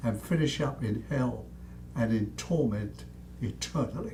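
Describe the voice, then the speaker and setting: A man talks at a fairly slow pace, with audible room echo around his voice. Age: 90s. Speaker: preacher, war veteran. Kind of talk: sermon. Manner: fiery, admonishing.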